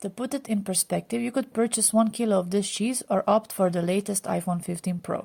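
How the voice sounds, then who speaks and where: A woman's somewhat breathy voice, medium in pitch and dark and mellow in tone, with ordinary pitch variation at a fairly quick pace. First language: not English. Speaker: food channel narrator. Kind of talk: scripted narration.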